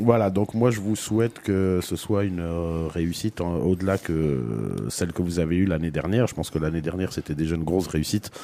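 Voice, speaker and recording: Very deep and low in pitch, a man speaks at a fairly quick pace in a dark, mellow tone. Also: ordinary pitch variation. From Brussels, Belgium. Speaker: radio host. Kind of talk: casual radio chat.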